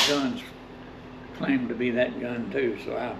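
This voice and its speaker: A man with an American accent talks at a moderate pace. There is audible room echo and noticeable background noise. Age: 80s+. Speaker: gun collector. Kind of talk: casual storytelling. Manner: halting.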